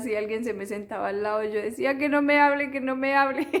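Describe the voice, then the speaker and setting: This is a woman's voice. Her intonation is fairly even. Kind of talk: personal testimony. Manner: halting, with repetitions.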